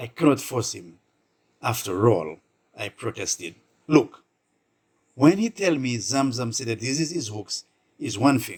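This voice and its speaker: Lively intonation and vocal fry mark this man's medium-pitched voice, with big swings in loudness. He goes at a fairly slow pace with long, frequent pauses. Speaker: storyteller. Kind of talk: short story narration.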